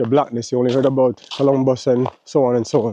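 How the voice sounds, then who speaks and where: In a Jamaican accent, a man speaks with monotone, flat intonation. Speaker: travel vlogger. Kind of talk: casual vlog monologue. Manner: casual, filler-heavy.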